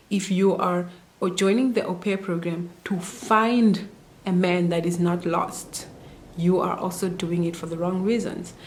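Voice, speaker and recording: A woman speaks at a fairly slow pace in a medium pitch with fairly even intonation, with noticeable background noise and audible room echo. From Namibia. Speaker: au pair vlogger. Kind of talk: casual vlog advice talk.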